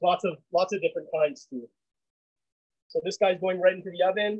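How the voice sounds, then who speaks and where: A man's high-pitched voice, dry with no echo, against a quiet background. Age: 40s. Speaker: chef; home cook host. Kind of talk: cooking demonstration. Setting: video call. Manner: casual, halting. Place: kitchen. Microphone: phone mic with audio problems; video call.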